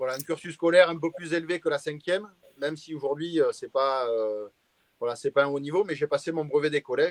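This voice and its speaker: A fairly high-pitched man at a fairly quick pace, with ordinary pitch variation and a dry, close sound with no echo. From southwestern France, Arcachon Basin (Gironde). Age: 40s. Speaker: pastry chef. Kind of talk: interview on a live stream. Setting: live stream. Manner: hesitant, many filler sounds.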